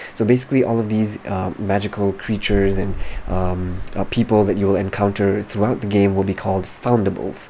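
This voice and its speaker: Against noticeable background noise, a man with a fairly low pitch talks at a fairly quick pace. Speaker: gaming youtuber. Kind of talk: casual game news commentary. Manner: soft-spoken; animated.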